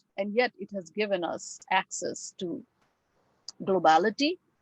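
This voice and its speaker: In a dry, close recording with no echo, a woman with a Bengali accent speaks at a fairly slow pace with very wide pitch swings. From India. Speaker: English professor. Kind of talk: lecture. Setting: video call.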